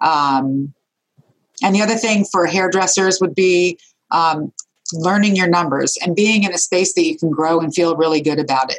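A woman speaks with an unremarkable speaking voice. Her pitch is medium and her pace moderate. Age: 40s. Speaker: hairdresser and salon owner. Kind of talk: interview.

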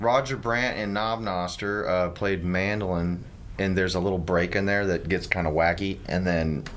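A man with a very deep, low voice speaks in an American accent at a moderate pace. His intonation is fairly even, and audible room echo surrounds him. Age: 40s. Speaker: musician. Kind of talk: casual interview chat. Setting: radio studio.

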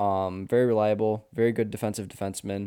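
Dark, mellow tone on a very clean recording with a silent background. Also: man. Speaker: co-host fan. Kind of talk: casual sports chat.

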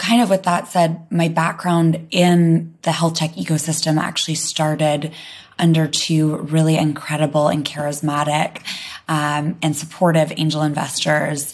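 Very deep and low in pitch, a woman speaks at a moderate pace with monotone, flat intonation and very even loudness. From London. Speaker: health tech startup co-founder. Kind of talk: interview conversation.

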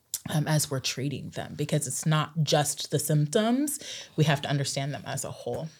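A woman's somewhat breathy voice with an American accent, very deep and low in pitch, at a moderate pace with ordinary pitch variation, on a very clean recording with a silent background. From southern Oregon, US. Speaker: pediatric psychologist and professor. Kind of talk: casual interview. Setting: studio. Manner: animated, gestures while talking.

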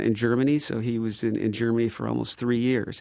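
A man with an American accent speaks at a fairly quick pace and a medium pitch, his intonation monotone and flat. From Chicago, southeast side. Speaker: drummer and former drum shop owner. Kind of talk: casual interview chat. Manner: talkative, many fillers.

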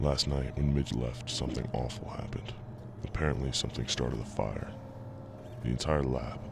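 Using a put-on character voice, a man talks at a moderate pace with an extremely low pitch and vocal fry over clear background noise. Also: fairly even intonation.

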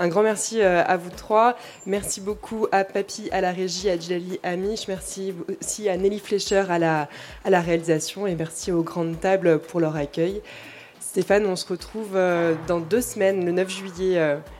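Noticeable background noise sits under a woman's medium-pitched voice. Her intonation is fairly even and her pace fairly slow. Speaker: radio presenter. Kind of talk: radio introduction. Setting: live public broadcast in a restaurant.

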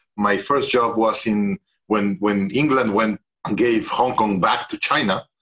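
Speaking at a fairly slow pace with a Spanish accent, a man keeps medium pitch, ordinary pitch variation and very even loudness. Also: dry, close sound with no echo. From Mexico (Mexico City). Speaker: CEO coach and executive education founder. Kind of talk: interview.

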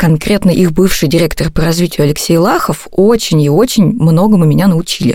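This is a woman with an ordinary speaking voice and a fairly low pitch. She talks at a moderate pace with ordinary pitch variation. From Russia, Novosibirsk. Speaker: podcast host and journalist. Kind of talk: scripted narration.

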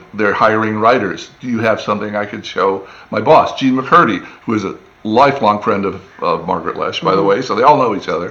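Here is a man with an American accent and an unremarkable speaking voice, using medium pitch, ordinary pitch variation and a moderate pace. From US Midwest and East Tennessee. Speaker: TV animation showrunner. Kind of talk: casual interview chat.

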